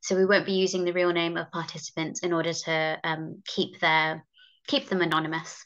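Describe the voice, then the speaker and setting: The background stays quiet. Intonation is fairly even throughout. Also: woman, fairly low pitch for a woman. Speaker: research assistant. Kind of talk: research presentation. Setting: video call. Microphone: video call.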